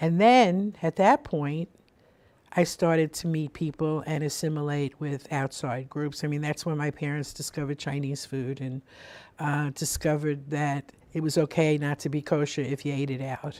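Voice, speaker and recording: With a Brooklyn accent, a woman talks in a very deep, low pitch and a dark, mellow tone on a very clean recording with a silent background. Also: fairly even intonation, moderate pace. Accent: New York (Brooklyn). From US Northeast, Brooklyn, New York. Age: 70s. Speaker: spiritual radio show host. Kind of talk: life story interview. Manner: conversational with frequent fillers and restarts.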